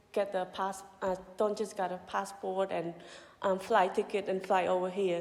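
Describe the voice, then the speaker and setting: A woman speaks in a Cambodian accent. Her pitch sits in the medium range. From Cambodia, Kampong Cham province. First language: Khmer. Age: 30s. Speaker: mission director. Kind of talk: testimony.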